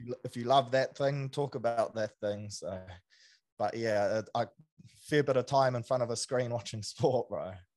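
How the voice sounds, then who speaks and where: Against a quiet background, a man with a New Zealand accent speaks at a moderate pace in a medium pitch. His intonation is fairly even, but his loudness swings widely. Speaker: sports podcaster. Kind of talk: casual chat. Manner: casual, slang-heavy.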